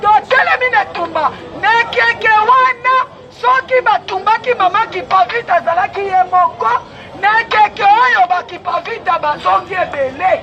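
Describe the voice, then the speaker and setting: The speech moves at a very slow pace. Crowd noise can be heard in the background. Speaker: activist. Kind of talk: impassioned speech. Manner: animated.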